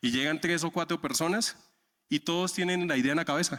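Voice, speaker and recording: Spoken at a very fast pace in a strong Santander Colombian accent, the voice sits in a very clean recording with a silent background. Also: man. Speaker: software architect, conference speaker. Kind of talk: conference talk. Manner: many filler 'eh' hesitations.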